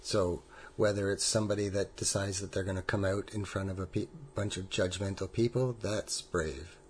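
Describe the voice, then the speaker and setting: Fairly low-pitched, somewhat breathy male voice with a Canadian accent, fairly even intonation and a fairly quick pace, over a quiet background. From Ontario. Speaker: family member of conversion therapy survivor. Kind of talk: recorded interview, personal story.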